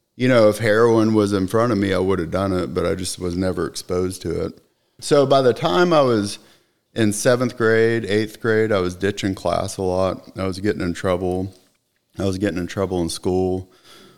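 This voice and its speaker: A man's normal speaking voice, fairly low in pitch, with ordinary pitch variation and a moderate pace, in a very clean recording with a silent background. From Texas, Austin. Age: 40s. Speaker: recovering alcoholic and veteran. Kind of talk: personal testimony in interview.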